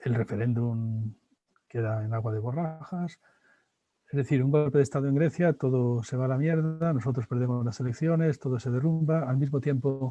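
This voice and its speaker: A man talks at a medium pitch with a dark, mellow tone. His voice is somewhat breathy. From Spain. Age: 60s. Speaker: philosopher and professor. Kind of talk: interview.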